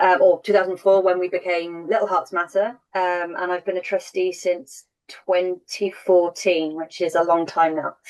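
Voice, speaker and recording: She speaks in an English accent at a moderate pace. The woman's fairly low voice stays monotone and flat. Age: 30s. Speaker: charity trustee and panelist. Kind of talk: panel Q&A.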